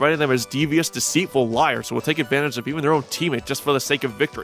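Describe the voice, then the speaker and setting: Over music in the background, a man talks at a very fast pace with a fairly high pitch and ordinary pitch variation. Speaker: TV episode reviewer. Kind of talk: episode review narration.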